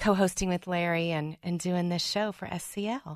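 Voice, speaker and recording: A woman with an American accent, medium pitch and fairly even intonation, at a moderate pace, in a dry, close sound with no echo over a quiet background. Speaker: podcaster and title processor. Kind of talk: casual radio interview. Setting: studio.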